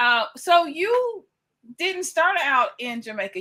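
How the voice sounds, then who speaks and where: A woman with a Southern US accent has a bright, sharp tone and very wide pitch swings. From US South, Batesville, Mississippi. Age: 50s. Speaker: interviewer, channel host. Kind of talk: casual interview.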